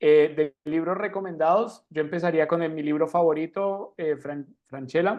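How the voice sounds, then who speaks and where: An unremarkable speaking voice moves at a fairly slow pace with hardly any pauses. Its intonation stays fairly even. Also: man, fairly high pitch for a man. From Argentina. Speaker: financial mindset coach, speaker. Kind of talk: online talk.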